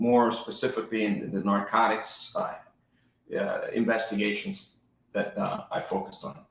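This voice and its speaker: A man talks at a moderate pace with a New Jersey accent. The room echo is audible. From New Jersey and Puerto Rico. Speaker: real estate agent, former federal agent. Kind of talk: interview, life story. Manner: casual, with hesitations.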